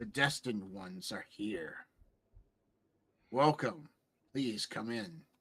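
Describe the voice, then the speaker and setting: Putting on a booming character voice, a man of medium pitch speaks at a fairly slow pace with long, frequent pauses. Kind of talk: formal. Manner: grand, welcoming.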